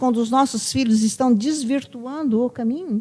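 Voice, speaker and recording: A woman's high pitch at a moderate pace, with ordinary pitch variation. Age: 60s. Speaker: psychologist. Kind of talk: podcast conversation.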